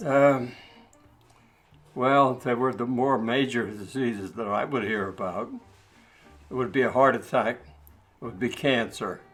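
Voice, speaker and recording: Music plays in the background as a man talks at a fairly slow pace with long, frequent pauses. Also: medium pitch for a man, ordinary pitch variation. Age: 90s. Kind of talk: interview answer.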